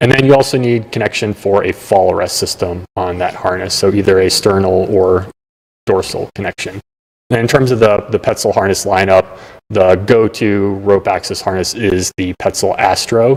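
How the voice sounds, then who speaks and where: A man has a normal speaking voice at a fairly low pitch. He talks at a moderate pace with fairly even intonation. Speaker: rope access gear expert. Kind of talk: interview explaining technical gear.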